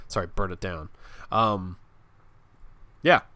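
A man talks in a bright, sharp, animated tone. His pitch varies in an ordinary way. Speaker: wrestling podcast host. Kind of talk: casual banter. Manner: animated, rambling.

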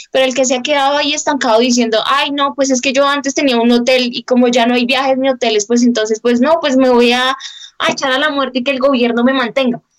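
A woman rushes along at a very fast pace in a high-pitched voice with monotone, flat intonation. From small town in Colombia. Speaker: podcast co-host. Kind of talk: casual chat. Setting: video call.

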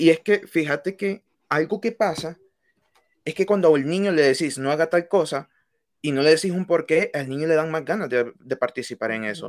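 In a very clean recording with a silent background, a plain, everyday voice speaks at a moderate pace with ordinary pitch variation and a dry, close sound with no echo. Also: man, fairly high pitch for a man. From Honduras, Tegucigalpa. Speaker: student podcast co-host. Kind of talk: casual discussion.

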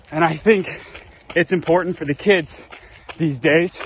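The intonation stays fairly even. There is noticeable background noise. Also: man. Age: 30s. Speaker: friend of the host, athlete. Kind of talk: recorded video message. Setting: outdoors on a morning run.

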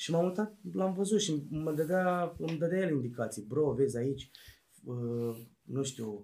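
Somewhat breathy, a man with a fairly high pitch speaks at a fairly slow pace with ordinary pitch variation. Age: 20s. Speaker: rapper. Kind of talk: casual interview. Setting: basement studio.

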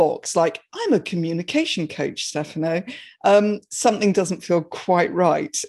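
The woman's tone is dark and mellow, and she keeps a moderate pace. Behind her the background is quiet. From Surrey, England. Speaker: speaker and coach on finding your voice. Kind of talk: storytelling and interview chat.

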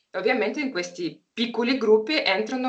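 With a Russian accent, this woman delivers her lines. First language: Russian (speaking Italian). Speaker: hunting dog breeder and trainer. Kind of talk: interview. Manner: halting.

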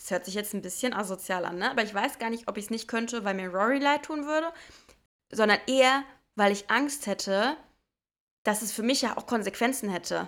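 On a very clean recording with a silent background, a woman speaks at a fairly quick pace and fairly high pitch, with ordinary pitch variation and long, frequent pauses. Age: 20s. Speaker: podcast co-host. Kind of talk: casual chat.

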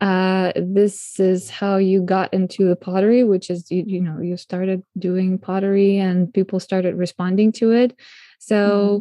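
A woman speaks with a non-native accent. Her delivery is fairly slow and monotone, with flat intonation. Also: medium pitch for a woman. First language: not English. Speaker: podcast host. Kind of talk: interview. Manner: halting.

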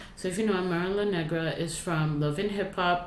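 With noticeable background noise behind her, a woman with a Toronto accent talks at a moderate pace in a fairly low pitch. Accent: Toronto Canadian English. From Canada, Toronto (Rexdale). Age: 20s. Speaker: podcast co-host. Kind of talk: casual chat.

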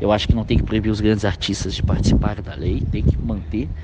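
A man's fry-laden voice at a fairly quick pace. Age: 40s. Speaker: film director. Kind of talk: interview. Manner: halting, many filler words.

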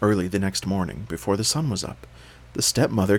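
The intonation stays fairly even throughout this unforced reading voice.

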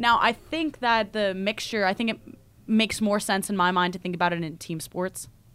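A woman with an American accent uses an ordinary speaking voice with a medium pitch and ordinary pitch variation. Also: moderate pace. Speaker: graduate student and podcast co-host. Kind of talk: casual chat.

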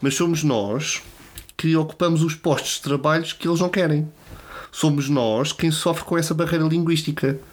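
Fairly even intonation marks this man's speech, delivered at a moderate pace and a fairly high pitch in a European Portuguese accent. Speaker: podcast host. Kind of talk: monologue; casual chat. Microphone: new microphone.

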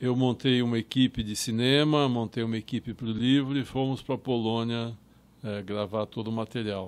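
A man has an unremarkable speaking voice at a medium pitch. His intonation is fairly even, at a moderate pace. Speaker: filmmaker and Holocaust historian. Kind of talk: interview.

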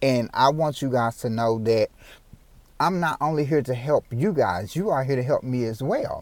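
At a moderate pace, a man speaks in a medium pitch with an animated tone. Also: ordinary pitch variation. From Memphis, Tennessee (US South). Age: 30s. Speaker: podcast host and motivational speaker. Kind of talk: motivational podcast monologue.

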